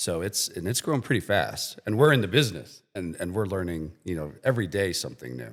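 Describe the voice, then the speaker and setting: With music in the background, a man with an Ohio accent speaks fairly quickly with hardly any pauses, his very deep, low voice swinging very widely in pitch. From Medina, Ohio. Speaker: IT company podcast co-host. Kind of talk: podcast conversation.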